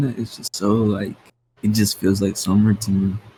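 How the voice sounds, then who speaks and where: A man's somewhat breathy voice, dark and mellow in tone, at a moderate pace. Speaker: rapper. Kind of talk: casual interview. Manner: casual, filler-heavy.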